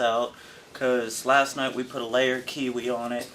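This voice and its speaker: This is an unremarkable speaking voice. The delivery is fairly slow. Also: man. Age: young. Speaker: juvenile prison inmate. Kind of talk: interview answer. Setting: prison cell.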